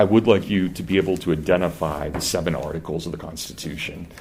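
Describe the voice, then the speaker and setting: In a Kansas accent, a man with a very deep, low pitch talks at a very fast pace with ordinary pitch variation and audible room echo. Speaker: professor. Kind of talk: lecture. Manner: conversational, with false starts.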